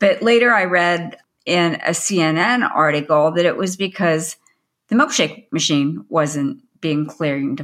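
Her fairly low-pitched voice moves at a fairly slow pace, but this woman's intonation is lively. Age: 60s. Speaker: food safety trainer and podcast co-host. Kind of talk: casual chat.

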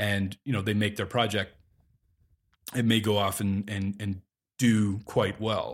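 A man with a Canadian accent speaks at a fairly slow pace, with long, frequent pauses and a fairly low pitch. His intonation is monotone and flat, on a very clean recording with a silent background. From Calgary, Alberta, Canada. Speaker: equipment rental company representative and film producer. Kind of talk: casual interview.

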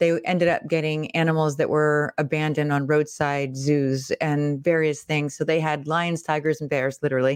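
Dry and close with no echo, a woman's very deep, low voice moves at a moderate pace in a monotone, flat delivery, recorded very cleanly over a silent background. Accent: American. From Pittsburgh, Pennsylvania. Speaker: personal branding coach, former actress. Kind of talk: casual interview.

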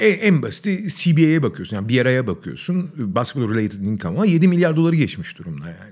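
This man talks at a fairly quick pace with hardly any pauses. His medium-pitched voice swings very widely in pitch. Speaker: podcast co-host. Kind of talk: casual sports talk.

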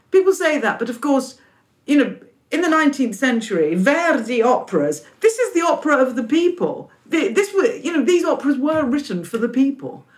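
Speaking at a moderate pace with a London accent, a woman uses a high voice that makes very wide pitch swings. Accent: British English, London. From London, England. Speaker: opera company leader. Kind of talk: interview.

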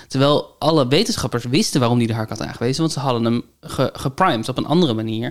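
The delivery is very fast. There are hardly any pauses. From Netherlands, north of the rivers. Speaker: podcast co-host. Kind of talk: casual chat. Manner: hesitant, many fillers.

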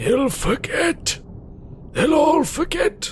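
A put-on character voice from a man, pitched extremely high, over clear background noise

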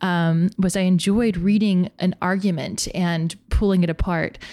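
On a very clean recording with a silent background, a woman with an American accent speaks at a fairly slow pace in a medium pitch with fairly even intonation. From North Carolina, US (West Coast family). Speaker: podcast co-host, editor. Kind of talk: casual chat.

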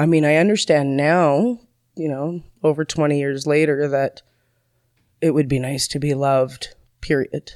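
A woman talks at a moderate pace with long, frequent pauses. Her very deep, low pitch carries fairly even intonation. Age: 30s. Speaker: person in recovery. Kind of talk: testimony. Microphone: far from the microphone.

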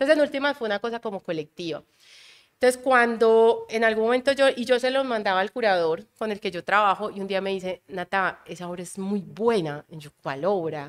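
A woman with an unremarkable speaking voice talks at a fairly quick pace, her medium pitch carried by lively intonation and big swings in loudness. The sound is dry and close with no echo, on a very clean recording with a silent background. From Colombian Caribbean coast. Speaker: calligrapher and visual artist. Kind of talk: casual interview conversation.

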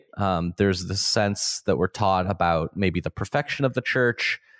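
With a Canadian accent and an ordinary speaking voice, a man talks at a fairly slow pace and fairly low pitch, using ordinary pitch variation, in a dry, close sound with no echo against a quiet background. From Ontario, Canada. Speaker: Orthodox priest and podcast host. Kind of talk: casual conversation about theology.

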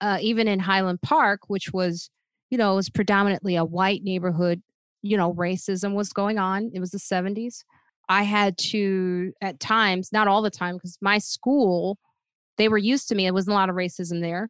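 A normal speaking voice: a woman with an American accent, medium pitch, moderate pace and fairly even intonation, dry and close with no echo against a quiet background. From Chicago area, Illinois. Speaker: comedian. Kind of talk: interview, personal story. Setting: video call.

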